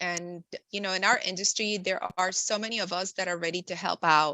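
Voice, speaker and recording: Speaking at a moderate pace with a Spanish accent, a woman keeps a medium pitch and fairly even intonation. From Nicaragua, raised in the US from young. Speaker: insurance and benefits professional. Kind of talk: podcast interview. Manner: frequent fillers (um, uh).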